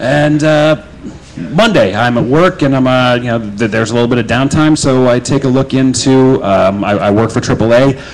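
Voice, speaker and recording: Noticeable background noise surrounds the recording. A man speaks at a medium pitch in an American accent. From Nebraska, US Midwest. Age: 20s. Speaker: storyteller. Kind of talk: spoken word storytelling. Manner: casual, hesitant with fillers.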